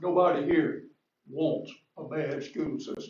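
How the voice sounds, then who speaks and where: Audible room echo surrounds a man speaking with a Georgia accent. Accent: Southern US, Georgia. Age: 70s. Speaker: resident speaking from the floor. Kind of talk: public comment.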